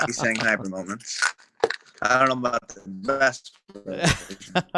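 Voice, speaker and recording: A man with a New Jersey accent talks at a fairly slow pace in a medium pitch. His pitch varies in an ordinary way, while his loudness swings widely. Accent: full Jersey. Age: 20s. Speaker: musician. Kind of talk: casual chat.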